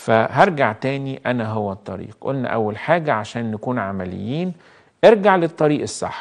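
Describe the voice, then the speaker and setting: A man with an Egyptian accent speaks at a moderate pace and medium pitch, using very wide pitch swings. His tone is warm, and the background is quiet. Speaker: priest. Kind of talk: live call-in sermon. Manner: warm, conversational. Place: studio. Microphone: lapel.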